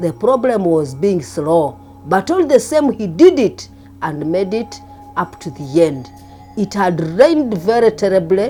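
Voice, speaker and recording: Fairly slow speech over background music. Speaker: former teacher. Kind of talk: interview answer.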